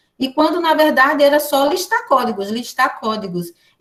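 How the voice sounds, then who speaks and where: With lively intonation and a high pitch, a woman talks at a fairly quick pace. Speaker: education professor. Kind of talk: online lecture. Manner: fast.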